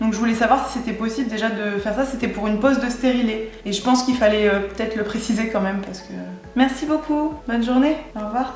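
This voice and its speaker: Music plays in the background, and audible room echo surrounds a woman's fairly high voice. She talks at a very fast pace with fairly even intonation. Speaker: vlogger. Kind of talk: vlog; phone call. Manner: casual; stutters when stressed.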